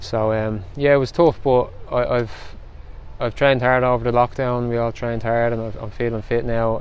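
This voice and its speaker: A man talks at a fairly quick pace in a flat, monotone way. The sound is dry with no echo, over light background noise. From Ireland. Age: 30s. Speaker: professional footballer. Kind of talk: post-match interview. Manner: halting, with repetitions. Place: stadium. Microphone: phone near.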